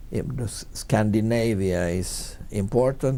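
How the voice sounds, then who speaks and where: At a very slow pace, a man with a Swedish accent speaks at a medium pitch in a dark, mellow tone with lively intonation. His voice has audible room echo. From Finland, Swedish-speaking Finn. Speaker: marketing company CEO. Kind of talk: interview. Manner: halting, many repetitions.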